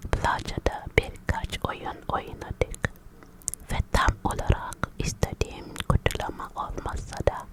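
Very slowly and in a whisper, a woman talks, with noticeable background noise present. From Africa. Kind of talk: ASMR whispered vlog. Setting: alone in her room in a foreign country. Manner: whispered, soft.

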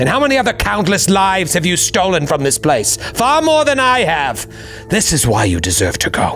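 Clear music plays behind a man doing a put-on character voice. He pitches it high and gives it a menacing tone. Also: moderate pace. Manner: self-righteous, menacing.

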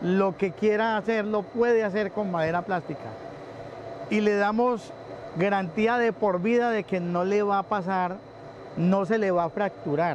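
A man talks at a fairly slow pace in a high pitch with ordinary pitch variation and very even loudness. The sound is dry with no echo, over light background noise. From Colombia, Pereira; Colombia. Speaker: recycling business manager. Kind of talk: interview.

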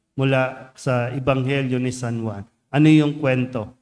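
The intonation remains fairly even. Delivery is at a fairly slow pace. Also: man. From Philippines. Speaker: priest. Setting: church. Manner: conversational and teacherly, asking rhetorical questions; earnest, warm, unhurried pastoral tone. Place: church. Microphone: podium.

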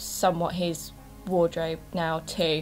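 Faint music plays in the background. Over it, a woman speaks at a fairly slow pace. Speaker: beauty vlogger. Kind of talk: casual vlog chat. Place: home room. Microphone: camera far.

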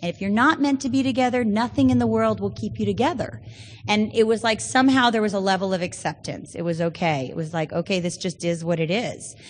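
A woman with an American accent, somewhat breathy, at a fairly quick pace with very wide pitch swings. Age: 30s. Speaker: Al-Anon speaker. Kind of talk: recovery testimony. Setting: stage with audience.

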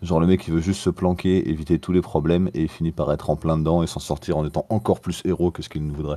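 In a very deep, low pitch and a dark, mellow tone, a man talks at a very fast pace with fairly even intonation and hardly any pauses. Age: 20s. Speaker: teacher. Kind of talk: casual chat.

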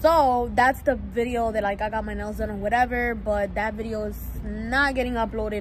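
Someone speaks with an American accent over noticeable background noise, the sound dry with no echo. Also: woman. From New York. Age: young. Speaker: vlogger. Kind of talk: casual vlog talk to camera. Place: street. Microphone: phone near.

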